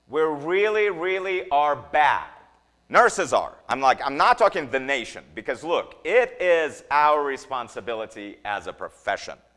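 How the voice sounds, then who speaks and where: A man with a slight non-native accent speaks in an animated, bright, sharp tone, his fairly high pitch making very wide swings. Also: fairly slow pace. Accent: slight foreign. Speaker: nursing educator. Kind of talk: lecture. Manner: halting, many repetitions.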